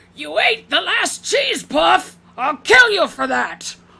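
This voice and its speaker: A high-pitched, put-on character voice. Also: fairly slow pace. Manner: angry, shouting.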